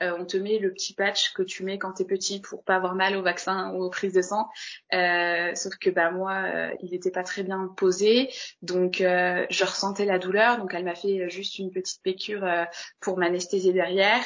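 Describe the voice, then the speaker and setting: A woman's flat, monotone voice at a medium pitch, at a fairly slow pace. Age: 20s. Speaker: interviewee sharing abortion experience. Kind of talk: personal testimony.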